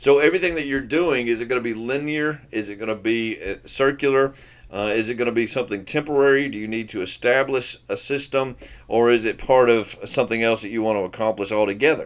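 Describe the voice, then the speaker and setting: A man speaks very fast, his pitch varying in an ordinary way. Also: medium pitch for a man. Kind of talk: teaching talk.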